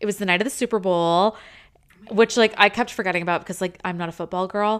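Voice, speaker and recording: An unremarkable speaking voice from a woman with an American accent, medium in pitch with ordinary pitch variation, on a very clean recording with a silent background. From US. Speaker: podcast co-host. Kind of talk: casual chat.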